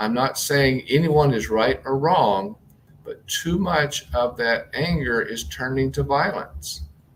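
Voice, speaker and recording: Very slow, somewhat breathy speech from a man at medium pitch with ordinary pitch variation. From US South, southern Mississippi. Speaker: transformational coach. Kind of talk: interview.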